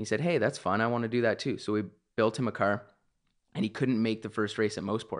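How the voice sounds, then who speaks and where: A man's medium-pitched voice at a very fast pace, with fairly even intonation and very even loudness, against a quiet background. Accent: Canadian. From Canada, Ontario (Milton). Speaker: race car driver. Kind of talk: casual interview. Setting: home studio, dining room table.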